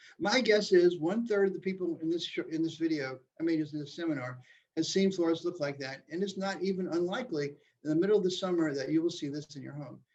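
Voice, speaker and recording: Speaking very fast, a man with a high voice keeps to ordinary pitch variation. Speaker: building science expert giving a seminar. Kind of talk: online lecture with slides.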